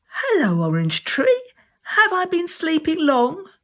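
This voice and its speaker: A put-on character voice, squeaky and extremely high in pitch. It moves at a fairly slow pace. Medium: read story. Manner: curious, innocent.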